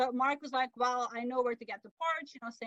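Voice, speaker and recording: In a Flemish accent, a woman speaks at a fairly quick pace. Her voice is high, with fairly even intonation. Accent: Belgian Dutch-accented English. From Belgium. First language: Dutch. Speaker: author and sailor. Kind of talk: casual interview. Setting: video call from camper van.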